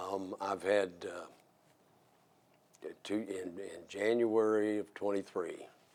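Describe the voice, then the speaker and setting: A man with an American accent speaks very slowly in a fairly low voice, leaving long, frequent pauses. His intonation is monotone and flat. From southern Indiana (Jeffersonville). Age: 60s. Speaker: mayor. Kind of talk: interview.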